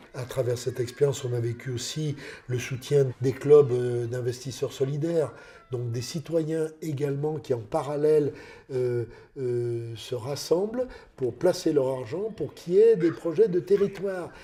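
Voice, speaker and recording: At a fairly slow pace, a man with a fairly high pitch and a somewhat breathy, dark, mellow tone speaks with ordinary pitch variation. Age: 60s. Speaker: citizen project member. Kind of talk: documentary interview.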